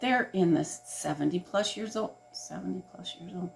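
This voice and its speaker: The speaker's pitch swings very widely at a fairly slow pace. Noticeable background noise sits under the voice. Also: woman. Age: 70s. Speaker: doll restorer. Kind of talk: casual chat.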